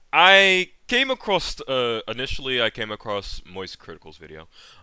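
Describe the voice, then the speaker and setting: A man's bright, sharp tone at a moderate pace on a very clean recording with a silent background. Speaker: streamer reacting to videos. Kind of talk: live-stream reaction commentary. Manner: halting, many fillers.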